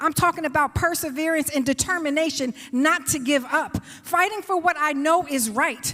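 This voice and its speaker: A woman with an American accent speaks in a raised, projected voice. Her pitch is high and her tone bright and sharp. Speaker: congressional candidate, state legislator. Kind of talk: campaign speech at candidate forum. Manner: animated.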